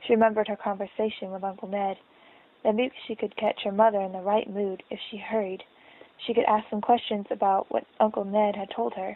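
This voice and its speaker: A woman at medium pitch, flat and monotone, at a fairly quick pace. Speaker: audiobook reader. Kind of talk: reading aloud. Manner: halting, with stumbles.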